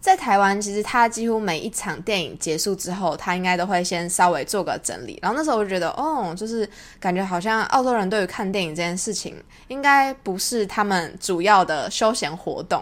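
Here a woman uses an ordinary speaking voice at a medium pitch. Her intonation is lively and her pace fairly quick. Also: very clean recording, silent background. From Taiwan. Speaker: podcast host. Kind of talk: casual monologue.

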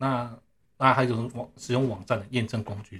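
Somewhat breathy, a man talks at a moderate pace in a medium pitch. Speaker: network engineer. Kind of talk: casual interview. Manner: halting, many fillers.

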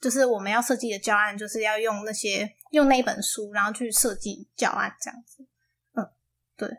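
At a moderate pace, a woman with a fairly high pitch and fairly even intonation speaks with big swings in loudness, in a plain, everyday voice. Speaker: university student, aspiring English teacher. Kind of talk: casual interview.

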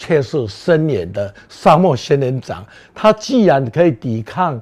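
Against a quiet background, a man with a dark, mellow tone talks at a very slow pace, his pitch swinging very widely. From Taiwan, Beigang (Yunlin). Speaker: artist and gardening speaker. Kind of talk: public talk. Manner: hesitant with many fillers.

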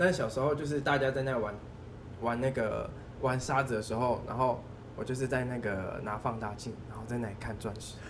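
A man talks with fairly even intonation. Room echo is audible. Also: medium pitch for a man. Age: 20s. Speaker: diamond dealer. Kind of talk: casual chat. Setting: mahjong room venue.

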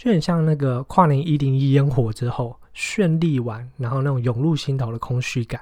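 Over noticeable background noise, a man talks at a moderate pace with hardly any pauses, using a fairly high pitch and ordinary pitch variation. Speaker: podcast host and entrepreneur. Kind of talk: book review monologue. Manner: casual with many fillers.

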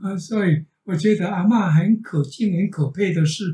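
With a dark, mellow tone and a high pitch, a man talks at a moderate pace using ordinary pitch variation. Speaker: retired teacher. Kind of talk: casual family conversation.

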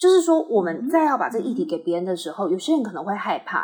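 A woman with a fairly high, somewhat breathy voice and a dark, mellow tone swings very widely in pitch. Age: 30s. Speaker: patient autonomy nonprofit staff. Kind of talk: interview conversation.

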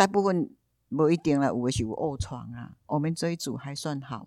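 A woman speaks with lively intonation and a dark, mellow tone on a very clean recording with a silent background. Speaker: community volunteer and yoga teacher. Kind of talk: interview. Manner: halting, many fillers.

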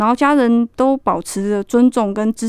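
In an ordinary speaking voice, the speaker goes at a moderate pace with ordinary pitch variation, the sound dry and close with no echo. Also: woman. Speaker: army sergeant. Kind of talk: radio interview.

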